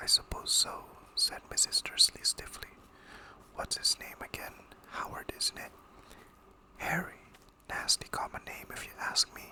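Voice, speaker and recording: Whispering at a fairly slow pace with long, frequent pauses. Noticeable background noise sits underneath. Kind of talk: ASMR audiobook reading of a novel. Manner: whispered, soft, relaxing.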